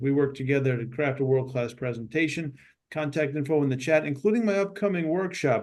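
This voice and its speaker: Speaking very fast, a man with a New York accent uses a fairly high pitch. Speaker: speaking coach, Marine veteran. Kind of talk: networking self-introduction.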